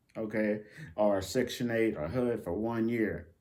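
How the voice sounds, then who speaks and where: With an American accent and a medium pitch, a man speaks in an animated tone amid audible room echo. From United States. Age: 60s. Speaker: YouTuber, benefits news commentator. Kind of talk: casual vlog commentary. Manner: animated, emphatic.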